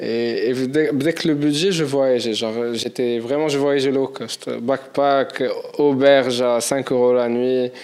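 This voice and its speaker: Noticeable background noise sits under the voice. The delivery is very slow, and the intonation stays fairly even. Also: man, medium pitch for a man. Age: 20s. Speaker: entrepreneur and world traveller. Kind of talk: casual interview chat.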